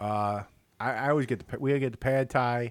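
A man speaks in an animated tone with a Chicago accent. The sound is dry and close, with no echo. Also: very clean recording, silent background. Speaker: podcast co-host. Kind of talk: casual banter between two friends. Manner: joking, talkative, animated.

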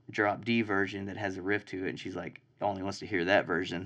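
Against a quiet background, a man with a Texan accent speaks at a fairly low pitch and a moderate pace. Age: 20s. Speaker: songwriter and band member. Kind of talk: casual chat. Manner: casual, profane.

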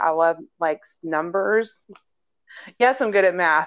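A woman with an American accent uses an ordinary speaking voice, speaking at a fairly slow pace and fairly low pitch with fairly even intonation. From Houston, Texas. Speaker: podcast co-host, childcare worker. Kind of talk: casual chat.

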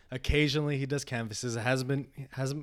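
In a very clean recording with a silent background, a man uses a plain, everyday voice at medium pitch, with ordinary pitch variation and a fairly quick pace. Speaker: podcast host. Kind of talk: casual interview chat.

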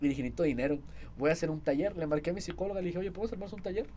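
Speaking at a very fast pace, this man talks. His pitch sits fairly high. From Saltillo, Coahuila, northern Mexico. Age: 20s. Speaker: social media influencer and student. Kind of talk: casual interview chat.

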